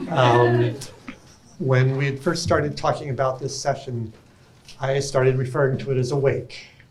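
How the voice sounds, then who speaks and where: A man speaks at medium pitch in a flat monotone, leaving long, frequent pauses. Noticeable background noise and audible room echo fill the recording. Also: moderate pace. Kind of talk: conference talk.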